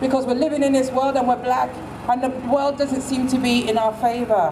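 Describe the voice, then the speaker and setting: A woman with a high pitch talks fairly quickly, keeping fairly even intonation and very even loudness over noticeable background noise. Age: old. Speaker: protest speaker. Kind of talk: protest speech.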